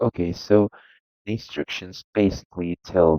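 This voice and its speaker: With a non-native accent, a man speaks at a very slow pace. His pitch is very deep and low, with ordinary variation. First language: not English. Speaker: video game tutorial creator. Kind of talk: tutorial. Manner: halting.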